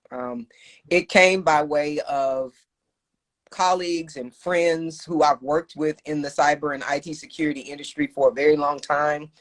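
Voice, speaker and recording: At a moderate pace, a woman with a very deep, low pitch speaks with big swings in loudness, the sound dry and close with no echo. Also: ordinary pitch variation. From Texas, Austin. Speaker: cybersecurity professional and entrepreneur. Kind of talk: casual interview. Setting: Instagram live video call.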